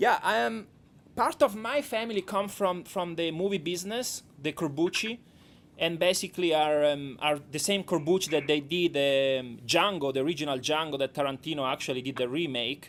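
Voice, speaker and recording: Speaking with a strong Italian accent, a man uses a fairly high pitch. His intonation is lively. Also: moderate pace. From Italy. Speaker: documentary director. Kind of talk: radio interview. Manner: halting.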